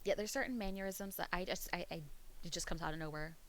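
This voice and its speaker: A woman with an American accent talks very fast in a fairly low, animated voice with ordinary pitch variation. Audible echo fills the room. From US East Coast, Pennsylvania. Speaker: streamer. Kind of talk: casual chat. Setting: live stream.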